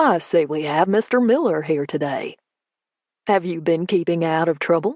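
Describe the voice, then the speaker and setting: Using a put-on character voice, a woman drawls at a moderate pace in a fairly low pitch. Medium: read story. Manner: low drawl.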